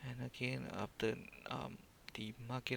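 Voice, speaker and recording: Speaking at a fairly slow pace with a non-native accent, a man uses a fairly low pitch with vocal fry. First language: non-native English speaker. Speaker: day trader. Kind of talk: trading screen walkthrough. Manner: hesitant, many filler words.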